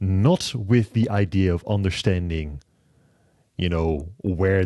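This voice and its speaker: A man speaks in a dark, mellow tone. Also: quiet background. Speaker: podcast host. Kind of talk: interview conversation. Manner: halting.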